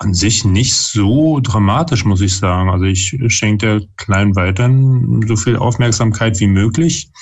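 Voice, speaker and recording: Over noticeable background noise, a man speaks fairly slowly at a fairly low pitch, with ordinary pitch variation and very even loudness. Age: 30s. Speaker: father and parenting YouTuber. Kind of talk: casual chat. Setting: video call.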